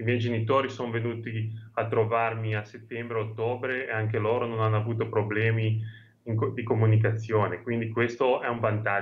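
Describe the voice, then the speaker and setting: A somewhat breathy man speaks at a fairly quick pace in a monotone, flat intonation. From Genoa, Liguria. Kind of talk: interview answer. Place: home room. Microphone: video call.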